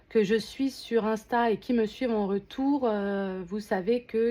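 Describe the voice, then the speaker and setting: Her dark, mellow tone sits at a fairly high pitch for a woman. She speaks at a very slow pace with fairly even intonation. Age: 30s. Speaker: unboxing vlogger. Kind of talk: casual unboxing vlog. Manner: hesitant, many filler sounds.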